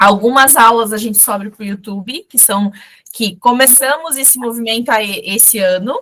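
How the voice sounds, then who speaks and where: A woman's fairly high, bright and sharp voice at a moderate pace, with big swings in loudness. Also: ordinary pitch variation. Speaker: fashion brand instructor. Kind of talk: live online class. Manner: direct.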